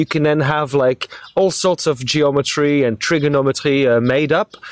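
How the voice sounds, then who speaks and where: This man talks at a moderate pace in a fairly high voice. The sound is dry and close with no echo, though noticeable background noise comes through. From France. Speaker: stand-up comedian. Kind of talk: casual comedic banter. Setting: remote call. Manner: animated, joking.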